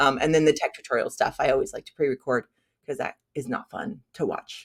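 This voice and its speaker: Recorded dry and close with no echo, a woman speaks at a moderate pace in an animated tone. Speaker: funnel strategist, business owner. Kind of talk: interview, casual chat.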